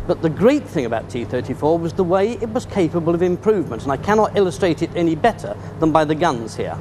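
Over light background noise, a man with a British accent talks at a very fast pace with hardly any pauses and a high pitch. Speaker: military historian. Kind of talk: expert interview commentary. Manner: measured. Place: hall.

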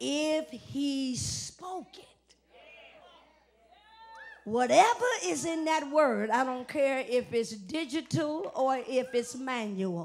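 Her high voice has lively intonation and big swings in loudness at a very slow pace. Long, frequent pauses break up the woman's speech over light background noise. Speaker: preacher. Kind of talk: live church sermon. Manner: call-and-response, emphatic. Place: church. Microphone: handheld.

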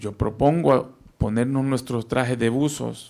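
A man talks at a very slow pace. His pitch is medium and his intonation fairly even. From El Salvador. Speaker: investigative journalist. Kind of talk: panel talk. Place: meeting room. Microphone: handheld.

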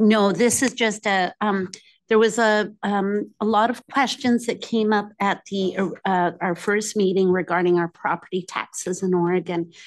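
Over a quiet background, a woman speaks at a fairly slow pace with fairly even intonation. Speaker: presenter. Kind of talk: presentation to committee. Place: meeting room.

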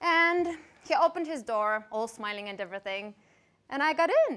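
A woman speaks at a moderate pace in a raised, projected voice with very wide pitch swings over a quiet background. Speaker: stage actor. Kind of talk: dramatic theatre monologue. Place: stage. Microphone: headset.

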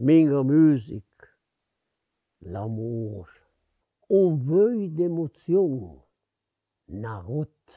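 In a Lombard accent, the speaker talks very slowly with a dark, mellow tone and very wide pitch swings, the sound dry and close with no echo. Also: man. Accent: Brianza Lombard dialect. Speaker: dialect poet. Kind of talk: poetry reading. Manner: heartfelt.

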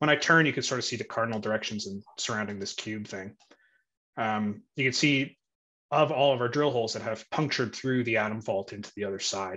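A man with a bright, sharp tone at a fairly quick pace over a quiet background. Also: ordinary pitch variation. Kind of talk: interview answer explaining screen share. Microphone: video call.

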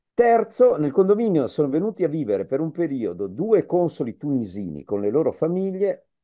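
A man's dark, mellow, fairly high-pitched voice at a fairly quick pace, with very wide pitch swings over a quiet background. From Piedmont, Vercelli; Piedmont. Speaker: professor, migration expert; professor. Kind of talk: public lecture. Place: home room. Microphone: video call.

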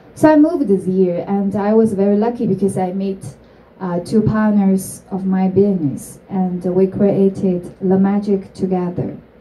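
A woman with a Chinese accent and ordinary pitch variation. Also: moderate pace. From China. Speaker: entrepreneur; speaker. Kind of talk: talk to an audience; public talk. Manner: halting. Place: stage.

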